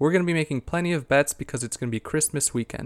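A man speaks in an ordinary speaking voice, fairly high in pitch with ordinary pitch variation. The sound is dry and close with no echo, on a very clean recording with a silent background. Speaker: investing and sports betting podcast host. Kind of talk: solo podcast monologue about investing and sports picks.

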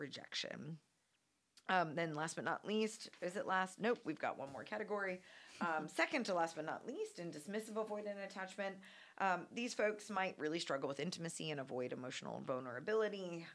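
A woman's normal speaking voice, medium in pitch, at a fairly quick pace with lively intonation. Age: 30s. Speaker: psychologist and podcast host. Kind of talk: panel discussion.

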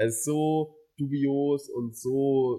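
Music plays in the background. Over it, a man speaks with a fairly high pitch. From Mainz, Germany. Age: 20s. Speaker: student podcast co-host. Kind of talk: casual chat.

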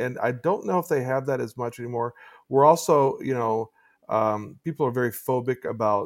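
Speaking at a moderate pace, the man has a medium pitch. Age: 50s. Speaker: theology scholar and podcaster. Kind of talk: casual interview chat. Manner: halting, with many repeated words.

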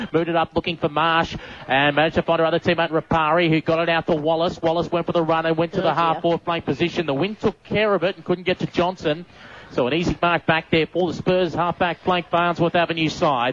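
Dry and close with no echo, the voice moves at a very fast pace in an Australian accent with monotone, flat intonation. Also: man, high pitch for a man. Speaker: sports commentator. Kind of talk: live sports commentary, play-by-play. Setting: radio broadcast from ground.

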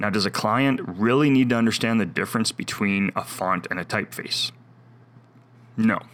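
A man with a medium-pitched voice and ordinary pitch movement speaks at a moderate speed. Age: 40s. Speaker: logo and vector designer, podcast host. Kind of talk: solo podcast monologue.

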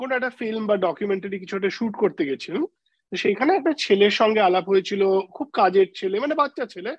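His intonation is lively. The man speaks at a high pitch. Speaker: music fan. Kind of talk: casual chat.

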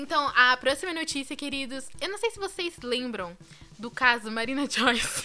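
Amid noticeable background noise, a woman with a high pitch uses a raised, projected voice at a moderate pace, with big swings in loudness. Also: lively intonation. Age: 20s. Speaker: podcast co-host. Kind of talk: casual chat.

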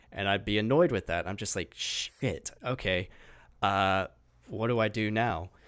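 A man with an unremarkable speaking voice talks at a fairly low pitch and a fairly slow pace with ordinary pitch variation. The recording is very clean with a silent background. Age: 20s. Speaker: podcast host. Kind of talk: casual chat.

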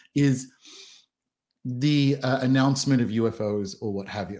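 Against a quiet background, a man with an Australian accent speaks at a medium pitch with ordinary pitch variation. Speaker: author and podcast host. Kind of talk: casual chat.

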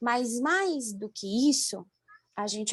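A woman speaks with a dry, close sound. There is no echo at all. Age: 20s. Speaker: doctor. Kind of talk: interview. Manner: halting.

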